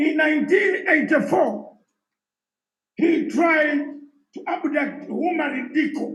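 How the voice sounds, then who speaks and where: A man speaks very slowly at an extremely high pitch, with long, frequent pauses and fairly even intonation. Room echo is audible. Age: 60s. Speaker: former armed rebel leader and political speaker. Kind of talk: live conference discussion.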